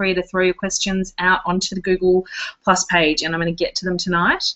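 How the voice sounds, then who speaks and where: A woman talks at a fairly quick pace. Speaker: blogging coach. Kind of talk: live webinar presentation. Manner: fast.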